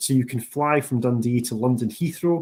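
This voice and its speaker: This man has a medium pitch and a strong Scottish accent. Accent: thick Scottish. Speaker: university international officer. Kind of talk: presentation. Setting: online training session.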